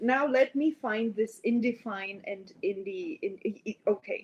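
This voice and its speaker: In a non-native accent, a woman speaks with lively intonation at a fairly high pitch. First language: not English. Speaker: biologist livestreamer. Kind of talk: live stream reading with commentary. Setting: live stream at laptop. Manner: halting, many fillers.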